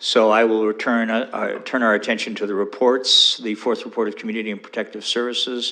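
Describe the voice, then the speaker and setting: Fairly quickly and in a monotone, flat intonation, a man speaks at a medium pitch with a bright, sharp tone. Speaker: mayor chairing city council. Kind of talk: council meeting chairing. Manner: fast.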